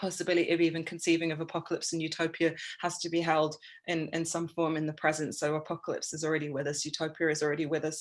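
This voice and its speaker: A woman speaks with an English accent at a very deep, low pitch. Her intonation is monotone and flat. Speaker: artist and writer. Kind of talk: informal talk. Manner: halting, many fillers.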